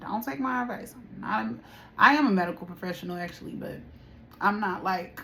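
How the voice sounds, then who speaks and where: A woman talks at a fairly quick pace with lively intonation. Her voice has vocal fry. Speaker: tarot reader. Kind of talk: spiritual reading and casual talk to viewers. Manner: quieter and calmer than usual; casual, repetitive phrasing.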